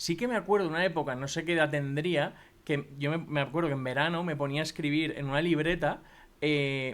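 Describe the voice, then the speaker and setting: A man talks at a fairly quick pace with fairly high pitch and fairly even intonation. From Spain, Valencia. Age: 30s. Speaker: podcaster and marketing entrepreneur. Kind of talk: interview conversation. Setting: in person, Madrid. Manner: casual, hesitant with filler words.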